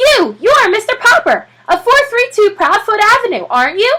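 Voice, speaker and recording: A woman uses a put-on character voice, squeaky and extremely high-pitched, with very wide pitch swings. She speaks at a moderate pace, and her loudness stays very even. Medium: read story. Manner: brisk, eager.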